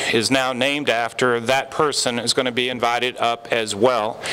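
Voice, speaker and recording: Noticeable background noise surrounds a man's voice. He speaks at medium pitch with monotone, flat intonation. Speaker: company founder. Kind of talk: award ceremony speech.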